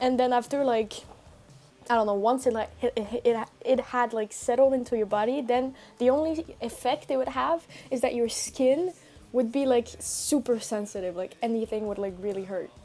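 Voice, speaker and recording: The speech is loud, at a moderate pace. Music plays in the background. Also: woman, high pitch for a woman, ordinary pitch variation. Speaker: streamer. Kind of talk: casual chat.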